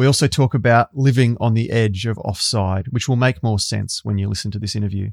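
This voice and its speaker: An Australian man speaks at a medium pitch with ordinary pitch variation. The sound is dry and close with no echo, and the recording is very clean over a silent background. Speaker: podcast host. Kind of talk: scripted intro; interview.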